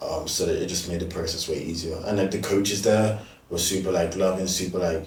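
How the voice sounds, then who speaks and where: Against audible room echo, a man speaks very fast in a very deep, low, somewhat breathy voice with fairly even intonation. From UK. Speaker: student athlete. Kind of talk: casual chat. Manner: hesitant, many fillers.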